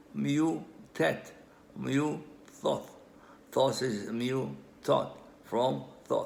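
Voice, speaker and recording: A man's voice with audible room echo. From Israel. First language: Hebrew. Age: old. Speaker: amateur language researcher. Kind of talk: lecture. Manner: halting.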